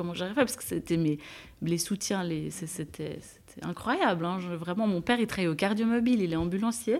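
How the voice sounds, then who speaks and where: This woman has a normal speaking voice at medium pitch. She moves at a moderate pace with ordinary pitch variation. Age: 30s. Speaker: nurse. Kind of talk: testimony.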